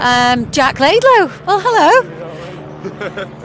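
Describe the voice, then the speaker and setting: Woman's voice amid noticeable background noise. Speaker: sidecar racing interviewer/presenter. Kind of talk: live trackside broadcast chat.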